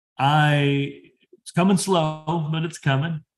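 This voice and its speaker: The speaker is a man with a fairly high pitch. His voice is somewhat breathy, with ordinary pitch variation. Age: 30s. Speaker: industry professional and PhD student. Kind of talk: career advice talk.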